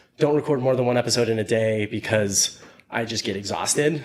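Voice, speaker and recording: A mumbling man. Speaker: podcast host. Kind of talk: casual chat. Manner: fast.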